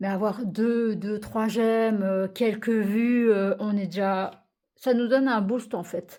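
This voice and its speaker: A woman speaks at a fairly high pitch with a dark, mellow tone. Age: 30s. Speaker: coloring vlogger. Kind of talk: casual vlog chat. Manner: halting.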